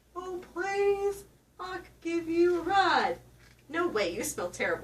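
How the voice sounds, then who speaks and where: Putting on a character voice, a woman speaks fairly slowly at an extremely high pitch with a playful tone. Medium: read story. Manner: coaxing, playful.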